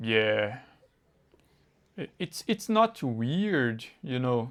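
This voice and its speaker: Speaking at a very slow pace with a Brazilian Portuguese accent, a man with a medium pitch makes very wide pitch swings. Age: 20s. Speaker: English learner. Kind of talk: casual conversation practice. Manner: halting, searching for words.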